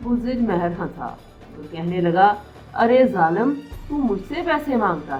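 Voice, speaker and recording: Music plays in the background as a woman speaks at a medium pitch. Her pitch swings very widely and her loudness swings a lot too. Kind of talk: storybook reading.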